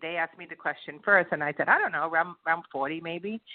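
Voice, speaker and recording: This woman has an ordinary speaking voice. Her pitch varies in an ordinary way. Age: 60s. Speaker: author and publisher. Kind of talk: interview conversation.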